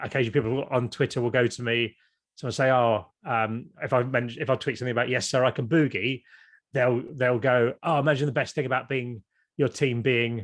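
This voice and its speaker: The recording is very clean, with a silent background. A man with an English accent speaks at a fairly quick pace and medium pitch. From Kent, England. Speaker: YouTuber and former TV presenter. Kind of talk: podcast interview. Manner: animated.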